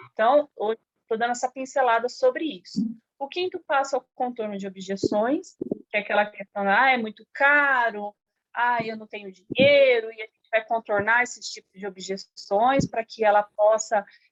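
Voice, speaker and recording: A woman's ordinary speaking voice, an ordinary speaking voice at a fairly high pitch, with ordinary pitch variation, big swings in loudness and a moderate pace. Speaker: sales trainer. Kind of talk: online training session.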